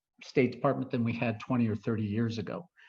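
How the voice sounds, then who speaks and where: The speaker has an American accent and sounds somewhat breathy. The background is quiet. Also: man. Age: 60s. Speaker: retired foreign service medical officer and guest speaker. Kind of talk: talk to a club audience. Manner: hesitant with fillers and restarts.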